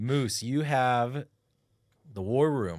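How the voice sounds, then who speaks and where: An unremarkable speaking voice with ordinary pitch variation. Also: man. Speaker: podcast host.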